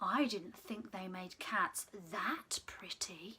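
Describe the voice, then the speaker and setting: The speech is very slow. A woman does a put-on character voice at a medium pitch. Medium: read story.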